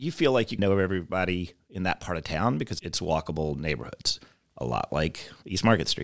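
In an American accent, a man with a plain, everyday voice speaks at a fairly quick pace with lively intonation on a very clean recording with a silent background. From US South, North Carolina (Davidson). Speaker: real estate developer and film producer. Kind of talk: casual interview chat.

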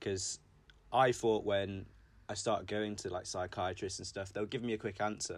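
In an English accent, a man speaks with monotone, flat intonation at a fairly low pitch, in a very clean recording with a silent background. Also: moderate pace. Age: 20s. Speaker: podcast host. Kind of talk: casual chat.

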